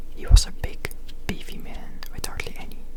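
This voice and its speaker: Someone whispers while noticeable background noise runs underneath. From Netherlands. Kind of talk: whispered book reading. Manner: whispered.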